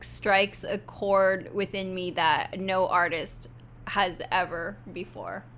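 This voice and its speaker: A woman with a western Canadian accent, at a very slow pace. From Canada, Vancouver. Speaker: office worker. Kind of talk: casual chat.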